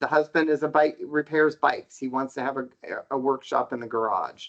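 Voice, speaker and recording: The man talks at a fairly quick pace with fairly even intonation. It is an ordinary speaking voice. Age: 60s. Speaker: housing market researcher. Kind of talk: podcast interview.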